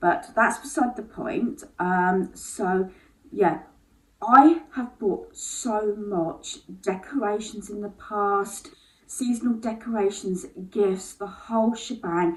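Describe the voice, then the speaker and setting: In an English accent, a woman speaks at a very slow pace in a fairly high, somewhat breathy voice with lively intonation. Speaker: lifestyle vlogger. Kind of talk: casual vlog monologue. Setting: at home on the landing. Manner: hesitant, many fillers.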